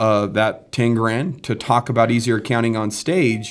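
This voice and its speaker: The speaker is a man with medium pitch who talks at a moderate pace. He has an unremarkable speaking voice. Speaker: podcast host. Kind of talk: casual business podcast chat. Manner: confident, motivational.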